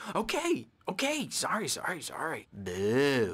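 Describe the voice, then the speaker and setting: A put-on character voice at middle pitch moves at a fairly slow pace. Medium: video game. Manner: erratic, giggling, childish.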